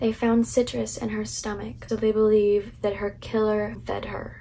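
Woman at medium pitch and a fairly slow pace, with vocal fry, a dark, mellow tone and little pitch movement

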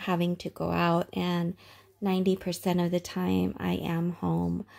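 A woman speaks with monotone, flat intonation. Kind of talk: casual vlog chat. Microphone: phone near.

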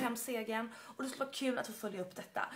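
The speaker is a woman with a fairly high pitch. Her pitch variation is ordinary. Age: 30s. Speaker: applicant for sidekick contest. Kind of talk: video application. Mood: upbeat, friendly. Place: home room. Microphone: phone near.

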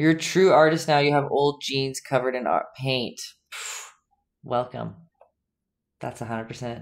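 A woman with a very deep, low voice speaks at a fairly slow pace with long, frequent pauses, sounding animated, with ordinary pitch variation and big swings in loudness. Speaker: painting instructor and live streamer; painting instructor, live streamer. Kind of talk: live-streamed painting tutorial with chat banter. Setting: home art studio, live stream. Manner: animated, chatty, laughs often. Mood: friendly, playful. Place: home room.

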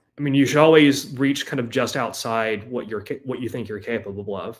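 A man with an American accent, very fast, fairly even intonation, quiet background. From US South, Georgia. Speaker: author and researcher on magic and linguistics; interview guest. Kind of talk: interview. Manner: halting, many fillers. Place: home room.

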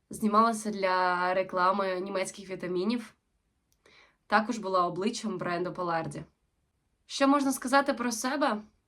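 Her tone is bright and sharp at a medium pitch, and this woman keeps a moderate pace. She leaves long, frequent pauses. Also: ordinary pitch variation, very clean recording, silent background. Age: 20s. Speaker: actress. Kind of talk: self-presentation video.

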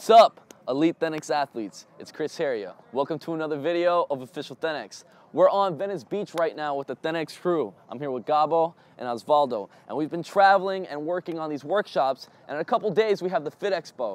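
Talking at a fairly quick pace, a man shows big swings in loudness, with a dry sound and no echo. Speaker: fitness coach. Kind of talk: casual vlog intro and tutorial. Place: beach.

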